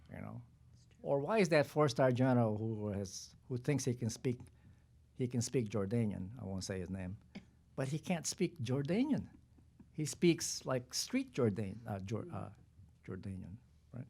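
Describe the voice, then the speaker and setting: Using long, frequent pauses, a man speaks in a dark, mellow tone with a non-native accent. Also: medium pitch for a man, lively intonation, moderate pace. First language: not English. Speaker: retired army general. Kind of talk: panel discussion. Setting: press conference. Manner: halting.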